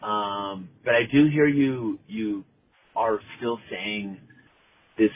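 A man speaks very slowly, with ordinary pitch variation. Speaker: caller. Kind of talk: voicemail message.

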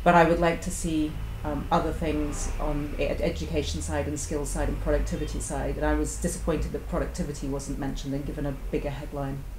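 Against noticeable background noise, a woman talks at a very fast pace with hardly any pauses. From UK. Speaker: engineer and business owner. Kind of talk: roundtable discussion. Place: shop.

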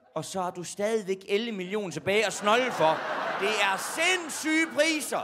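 A man raises and projects a high voice over loud background noise. His pitch swings very widely as he speaks at a fairly slow pace. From Jutland, Denmark (Horsens area); Denmark. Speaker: comedian. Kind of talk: stand-up. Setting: stage with audience. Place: stage. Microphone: handheld.

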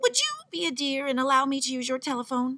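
A woman's high-pitched, put-on character voice at a very fast pace. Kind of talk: refined, courteous. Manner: extra polite.

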